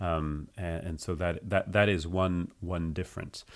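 A man with a very deep, low voice speaks at a fairly slow pace and fairly even intonation on a very clean recording with a silent background. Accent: French. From United States. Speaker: nonprofit co-founder. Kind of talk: interview. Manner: halting.

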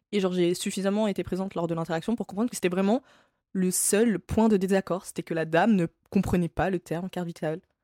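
Very fast and at a medium pitch, a woman speaks with fairly even intonation and a dark, mellow tone on a very clean recording with a silent background. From France. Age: 20s. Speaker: podcast host. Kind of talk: solo podcast monologue. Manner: casual, with frequent hesitations.

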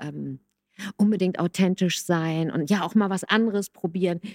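A woman with a plain, everyday voice speaks at a moderate pace and medium pitch, with fairly even intonation, on a very clean recording with a silent background. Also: dry, close sound with no echo. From Hamburg, northern Germany. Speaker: music coach and songwriter. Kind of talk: casual chat.

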